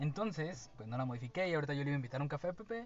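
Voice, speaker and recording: A man talking very fast, with ordinary pitch variation and noticeable background noise. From Veracruz, Mexico. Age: 20s. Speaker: podcast co-host, student. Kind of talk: casual chat. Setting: studio.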